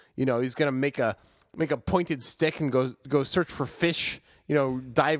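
An unremarkable speaking voice from a man, fairly high-pitched and fairly even in intonation, at a moderate pace over a quiet background. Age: 30s. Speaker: sports podcast co-host. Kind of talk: casual chat.

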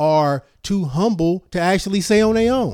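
On a very clean recording with a silent background, a man with an American accent speaks at a moderate pace, high in pitch with ordinary pitch variation. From Richmond, California (Bay Area). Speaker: professor. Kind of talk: casual chat.

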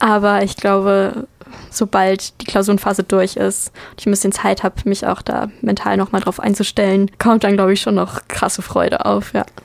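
A woman speaks at a medium pitch and a moderate pace. Her intonation stays monotone and flat. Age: 20s. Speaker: university student. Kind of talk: interview.

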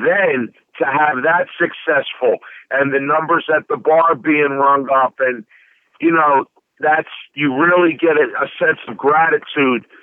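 A man's fairly high-pitched voice at a fairly slow pace, with fairly even intonation. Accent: Philadelphia. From South Philadelphia. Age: 40s. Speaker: DJ. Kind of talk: interview. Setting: phone call.

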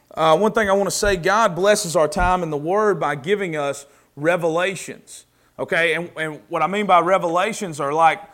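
A high-pitched man with a Southern US accent, at a moderate pace with ordinary pitch variation. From US South. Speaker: preacher. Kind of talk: sermon. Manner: casual, conversational.

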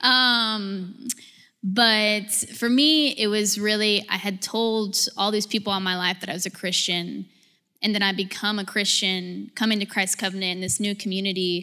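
Recorded very cleanly over a silent background, a woman with an American accent speaks at a medium pitch in a bright, sharp tone with fairly even intonation. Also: moderate pace. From Georgia, US. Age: 20s. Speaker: corporate employee. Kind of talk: testimony.

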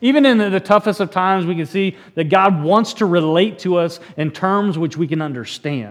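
Ordinary pitch variation in a plain reading aloud

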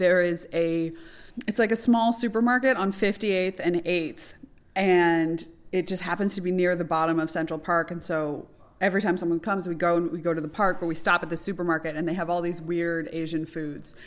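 In a very clean recording with a silent background, a woman with an American accent and an unremarkable speaking voice talks at a fairly low pitch and fairly quick pace with fairly even intonation. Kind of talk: casual chat. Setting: comedy club.

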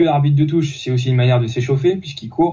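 The man's intonation is fairly even. His voice rests at a medium pitch. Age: 30s. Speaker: youth football coach. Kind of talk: interview. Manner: halting, many repetitions.

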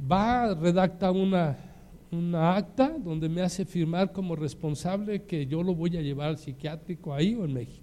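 A man with a high pitch and a dark, mellow tone speaks at a moderate pace with ordinary pitch variation. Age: 60s. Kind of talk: sermon.

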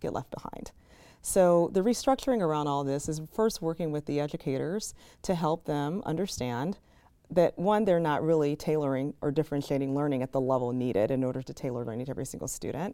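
Speaking with a Chicago accent, a woman uses a very deep, low pitch and a dark, mellow tone, her intonation lively and pace fairly quick on a very clean recording with a silent background. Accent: Chicago American. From Chicago, South Side. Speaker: education nonprofit CEO. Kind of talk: interview.

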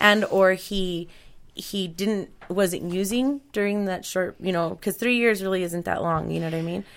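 A woman at medium pitch with an American accent, fairly even intonation and an ordinary speaking voice, on a very clean recording with a silent background. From Colorado, US (Mexican parents). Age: 30s. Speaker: podcast host. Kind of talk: casual chat. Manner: laughs often.

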